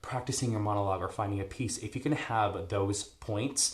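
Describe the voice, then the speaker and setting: This man's voice is somewhat breathy. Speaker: stage actor. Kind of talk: tutorial. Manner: fast.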